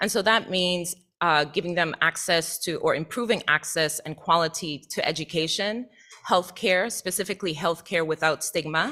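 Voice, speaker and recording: A woman with an American accent talks at a moderate pace in a bright, sharp tone. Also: fairly low pitch for a woman, ordinary pitch variation. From US Virgin Islands, Saint Thomas. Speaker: associate professor. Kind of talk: presentation to board. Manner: formal.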